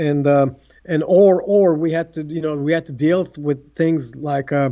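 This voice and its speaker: A man with a Turkish accent, high-pitched, at a fairly slow pace with ordinary pitch variation. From Turkey. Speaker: tennis coach. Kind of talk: casual interview. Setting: Istanbul, remote interview.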